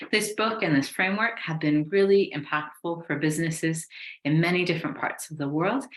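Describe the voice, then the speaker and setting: A woman's fairly low pitch with ordinary variation, at a fairly quick pace. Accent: American. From USA. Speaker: business mentor. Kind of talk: webinar presentation. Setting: online webinar. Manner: enthusiastic.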